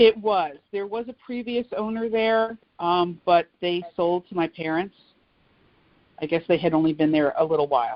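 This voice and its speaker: In an ordinary speaking voice, a woman with an American accent talks at a moderate pace with a fairly low pitch. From New Jersey, Old Bridge. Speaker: oral history interviewee. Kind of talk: interview.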